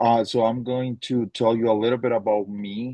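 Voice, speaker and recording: Speaking with a Spanish accent, a man keeps a moderate pace. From Colombia (Tunja). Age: 30s. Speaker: teacher. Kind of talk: webinar presentation. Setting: online webinar.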